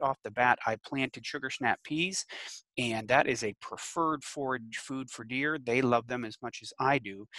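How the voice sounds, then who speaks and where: A man's voice with ordinary pitch variation, a bright, sharp tone and a dry sound with no echo. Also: quiet background. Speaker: extension educator. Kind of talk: webinar lecture. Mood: friendly, anecdotal. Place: home room. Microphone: headset.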